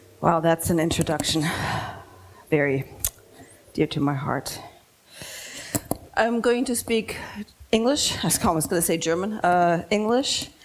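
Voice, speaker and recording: A woman's fairly low voice with lively intonation and long, frequent pauses, amid noticeable background noise. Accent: American. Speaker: design consultant. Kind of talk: lecture.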